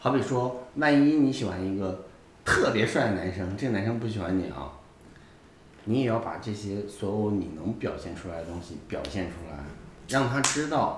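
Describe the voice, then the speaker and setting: A man with a fairly low voice speaks at a moderate pace with lively intonation. Noticeable background noise and audible room echo fill the recording. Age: 30s. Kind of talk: casual interview chat.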